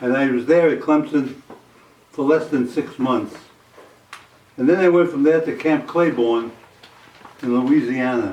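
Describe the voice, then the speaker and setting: Noticeable background noise sits behind a man with an American accent who speaks at a fairly slow pace, his fairly high pitch moving in an ordinary way. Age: 80s+. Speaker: war veteran. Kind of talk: oral history interview. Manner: halting, with fillers.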